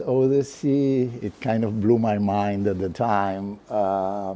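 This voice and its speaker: A man talks very slowly, with noticeable noise in the background. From Argentina, Buenos Aires. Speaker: professor. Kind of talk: lecture. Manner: hesitant, many fillers.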